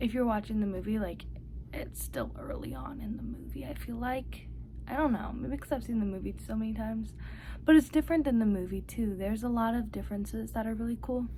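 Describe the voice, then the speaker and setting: The speaker goes at a fairly quick pace with audible room echo. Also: woman. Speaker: book vlogger. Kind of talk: casual vlog. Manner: casual, filler-heavy.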